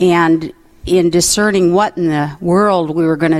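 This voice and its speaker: With noticeable background noise behind her, a woman speaks at a fairly slow pace in a warm tone, her fairly low pitch showing ordinary variation. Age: 70s. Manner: warm, laughs often.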